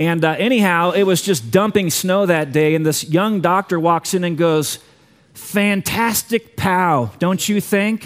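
Speaking at a fairly slow pace, a man with a high pitch shows ordinary pitch variation. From US Southwest (Tucson, Arizona). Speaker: pastor. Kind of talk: sermon.

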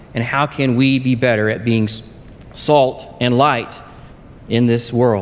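A man in an American accent, medium in pitch with fairly even intonation, over noticeable background noise. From southern Oklahoma. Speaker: lay preacher. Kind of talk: sermon. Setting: church.

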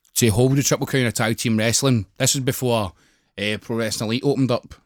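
A man with a Glasgow accent, medium pitch and fairly even intonation, the sound dry and close with no echo on a very clean recording with a silent background. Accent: Scottish (Glasgow area). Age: 20s. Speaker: professional wrestler. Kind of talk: casual chat.

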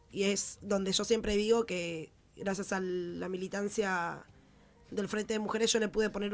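A woman talks in a flat, monotone intonation. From Buenos Aires, Argentina (Villa 21-24, Barracas). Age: 20s. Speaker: social activist. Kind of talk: interview.

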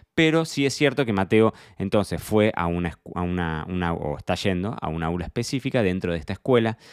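A man with an Argentine accent talks at a fairly quick pace and a very deep, low pitch, with lively intonation, in a very clean, dry, close recording with a silent background and no echo. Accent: Rioplatense Argentine Spanish. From Argentina, Buenos Aires province. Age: 30s. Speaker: wine sommelier and podcast host. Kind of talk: solo personal diary podcast. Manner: halting, frequent repetitions.

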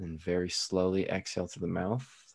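A man speaks in a very deep, low pitch with a dark, mellow tone. His intonation is monotone and flat over a quiet background. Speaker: hypnotist and illusionist. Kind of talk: guided hypnosis induction, slow soothing delivery. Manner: casual and chatty, joking in normal talk.

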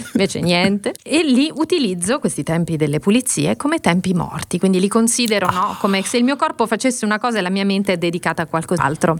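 A woman of medium pitch talks very fast with very wide pitch swings and very even loudness, over noticeable background noise. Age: 40s. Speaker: podcast co-host. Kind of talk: casual chat. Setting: video call.

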